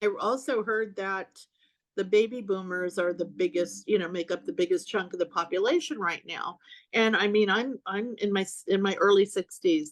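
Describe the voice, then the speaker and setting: A woman's normal speaking voice at medium pitch, moderate pace and ordinary pitch variation. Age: 60s. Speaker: author. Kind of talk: casual chat.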